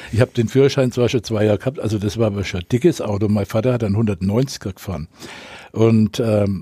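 At a fairly quick pace, a man speaks in a medium pitch with a dark, mellow, somewhat breathy tone and ordinary pitch variation, on a very clean, dry, close recording with a silent background and no echo. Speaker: radio correspondent. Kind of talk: casual interview storytelling.

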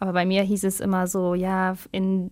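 A woman is speaking. Her intonation is flat and monotone. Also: very clean recording, silent background. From Germany, Lower Rhine (Hünxe). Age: 20s. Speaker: footballer. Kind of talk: radio interview.

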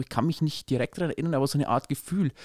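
Ordinary pitch variation comes from a man recorded very cleanly over a silent background, with a dry, close sound and no echo. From Upper Palatinate, Bavaria. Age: 20s. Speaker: newspaper editor, podcast co-host. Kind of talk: casual conversational podcast.

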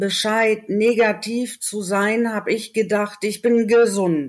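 A woman talks at a very slow pace with a fairly high pitch. The recording is very clean, with a silent background. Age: 40s. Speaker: former paramedic with long covid. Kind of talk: interview. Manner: halting, word-finding pauses.

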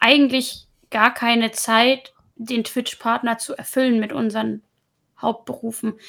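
A woman with a high pitch and a bright, sharp tone talks at a fairly slow pace. Her intonation stays fairly even. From Hamburg, northern Germany. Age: 20s. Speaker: Twitch streamer. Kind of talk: casual chat.

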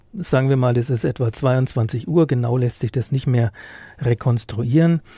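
Somewhat breathy, a man talks at a moderate pace in a dark, mellow tone. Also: dry, close sound with no echo. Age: 50s. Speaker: police reporter. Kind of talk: casual chat. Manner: hesitant, many fillers.

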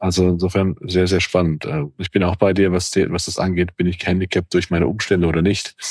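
Very deep and low, a man's voice moves at a fairly quick pace with monotone, flat intonation. The sound is dry and close, with no echo. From Germany, Cologne area. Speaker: podcast host, senior leader. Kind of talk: casual chat.

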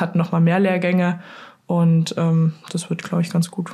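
A woman speaks at a fairly quick pace in a fairly low pitch, her tone dark and mellow. Her voice is somewhat breathy, with monotone, flat intonation. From Saxony, Dresden. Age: 20s. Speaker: luge athlete. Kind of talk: interview.

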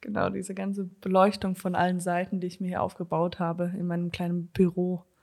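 Speaking at a fairly quick pace, a woman keeps a medium pitch and a monotone, flat intonation. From Germany and USA (bilingual). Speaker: comedian. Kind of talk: casual chat. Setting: video call from home office.

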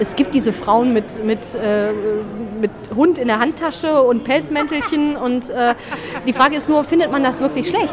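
A woman's high-pitched voice with lively intonation, against noticeable background noise. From Solingen, Bergisches Land, Germany. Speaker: journalist. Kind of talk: casual interview. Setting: shopping arcade. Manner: talkative.

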